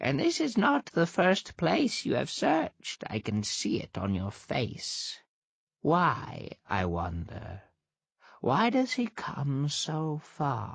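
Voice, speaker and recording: Putting on a character voice, a man speaks at a very slow pace in a fairly high pitch. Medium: read story. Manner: sharp, scolding.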